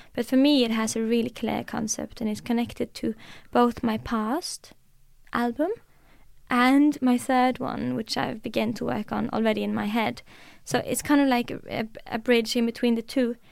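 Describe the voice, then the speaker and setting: A woman with a Norwegian accent speaks at a moderate pace. The recording is very clean, with a silent background. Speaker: musician. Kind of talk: casual interview.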